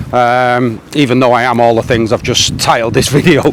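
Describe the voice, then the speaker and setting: Noticeable background noise sits behind a man speaking at a medium pitch and a fairly slow pace. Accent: English. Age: 40s. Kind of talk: casual talk to camera. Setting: outdoors.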